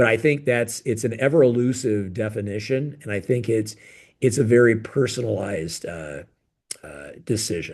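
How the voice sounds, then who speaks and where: A man with vocal fry speaks at medium pitch and a moderate pace. His intonation is lively, and his loudness swings widely. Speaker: plastic surgeon. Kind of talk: interview. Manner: halting.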